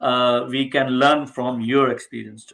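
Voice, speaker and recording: The speaker has an Indian accent and talks at a very slow pace. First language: Hindi. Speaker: homeopathy teacher. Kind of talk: online class discussion.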